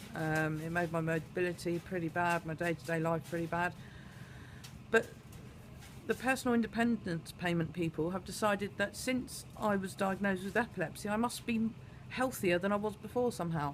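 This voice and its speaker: A fairly quick woman with a British accent and a fairly low pitch. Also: ordinary pitch variation. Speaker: vlogger. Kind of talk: personal vlog monologue. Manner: hesitant, many fillers.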